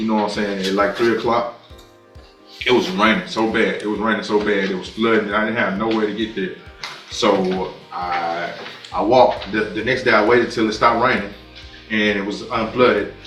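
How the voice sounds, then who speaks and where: A man speaks at a fairly quick pace in a fairly low pitch, his intonation flat and monotone. Music plays in the background. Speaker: defendant. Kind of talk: courtroom plea. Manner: hesitant, stammering, pleading.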